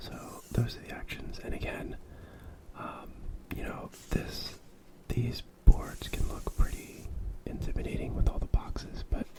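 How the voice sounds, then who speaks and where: Someone whispers at a fairly slow pace, leaving long, frequent pauses. Noticeable background noise sits behind the voice. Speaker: board game reviewer. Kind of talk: ASMR board game review. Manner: soft-spoken, whispered.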